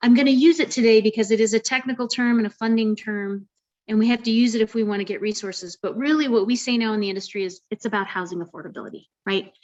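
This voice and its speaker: A woman talks very fast. Her pitch is fairly high. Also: ordinary pitch variation. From US Midwest, Iowa. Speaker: housing nonprofit founder, keynote speaker. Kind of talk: presentation with slides. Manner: animated.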